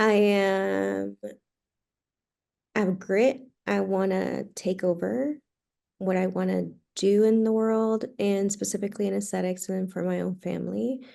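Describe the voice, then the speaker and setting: Set against a quiet background, the voice has a dark, mellow tone and a Spanish accent, moving at a fairly slow pace with ordinary pitch variation. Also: woman. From Puerto Rico, moved to Texas at ten. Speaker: physician assistant and aesthetic injector. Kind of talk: podcast interview. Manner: animated.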